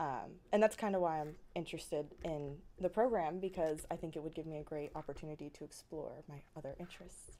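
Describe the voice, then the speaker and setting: A woman's very deep, dark and mellow voice at a fairly quick pace, with hardly any pauses, ordinary pitch variation, and big swings in loudness. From Florida (Sumter County, with years in Tennessee). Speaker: college student applicant. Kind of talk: interview. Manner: hesitant, many ums.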